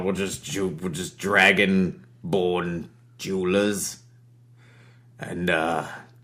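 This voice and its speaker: A man puts on a growling character voice at a fairly low pitch. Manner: uncertain, placating.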